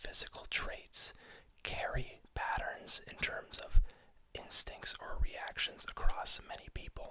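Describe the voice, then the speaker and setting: A man is whispering. He goes at a very slow pace. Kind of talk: ASMR role-play as a research clinic doctor, whispered. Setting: audio only, close-mic recording. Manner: whispered.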